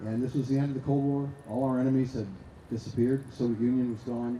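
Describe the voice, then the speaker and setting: Someone with a slight Boston accent speaks at a very fast pace, with audible echo from the room. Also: man. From US Northeast, Boston. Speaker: arms control expert, award laureate. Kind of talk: talk at a conference panel. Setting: stage with audience. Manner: halting, with many fillers.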